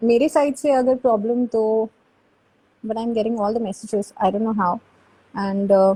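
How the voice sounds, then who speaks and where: A somewhat breathy voice with a dark, mellow tone speaks at a moderate pace, its fairly even intonation broken by long, frequent pauses. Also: woman, fairly high pitch for a woman. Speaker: YouTube host. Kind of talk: live stream interview. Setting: live video call. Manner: code-switching Hindi and English.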